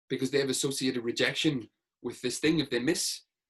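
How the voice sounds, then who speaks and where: A man talks at a fairly quick pace. His fairly high voice sounds somewhat breathy. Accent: Northern Irish. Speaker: sports hypnotherapist. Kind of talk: podcast interview.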